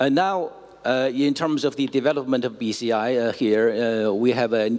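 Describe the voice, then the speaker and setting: This man talks at a fairly slow pace. He speaks with a Chinese accent. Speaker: cultural institute director. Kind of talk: presentation. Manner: halting.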